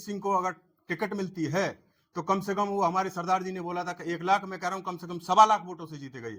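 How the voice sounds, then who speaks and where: Bright and sharp in tone, a man's high voice moves at a moderate pace. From Khair, Aligarh district, Uttar Pradesh. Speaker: villager, voter. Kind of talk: street interview.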